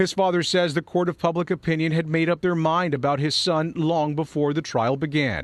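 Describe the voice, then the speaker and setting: With hardly any pauses, a man speaks in an unremarkable speaking voice, fairly high in pitch, with fairly even intonation and very even loudness. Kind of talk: TV news narration.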